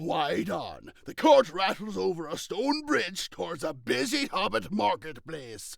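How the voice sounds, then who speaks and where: A man's put-on character voice, high-pitched and fairly slow, with hardly any pauses. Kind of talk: script stage directions. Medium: solo performance.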